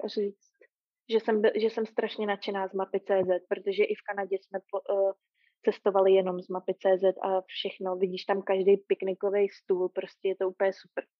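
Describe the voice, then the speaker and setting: A woman speaks at a medium pitch and a moderate pace. Her intonation is monotone and flat, with big swings in loudness. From Prague, Czechia. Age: 30s. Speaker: long-distance hiker. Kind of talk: casual interview. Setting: remote call.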